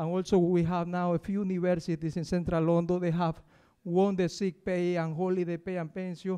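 Against a quiet background, a man with an Ecuadorian accent speaks fairly quickly at high pitch, his dark, mellow tone held in a monotone, flat intonation. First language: Spanish. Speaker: university cleaner and union campaigner. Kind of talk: public talk. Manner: halting. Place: stage. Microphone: handheld.

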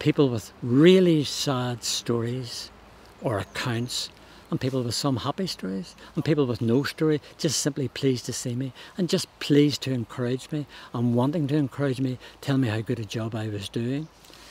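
In a Northern Irish accent, a man talks at a moderate pace and medium pitch, the sound dry with no echo. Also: ordinary pitch variation. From Northern Ireland. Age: 70s. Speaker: charity walker. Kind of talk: interview answer. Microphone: lapel.

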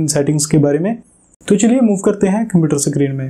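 Fairly quick in pace, a man talks over a quiet background. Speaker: tech channel host. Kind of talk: tutorial. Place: home room. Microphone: lapel.

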